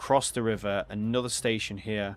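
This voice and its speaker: In an English accent, a man speaks at a moderate pace with a fairly low pitch and monotone, flat intonation. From England. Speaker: gaming streamer. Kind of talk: live gameplay commentary. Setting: livestream. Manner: casual, hesitant with many fillers.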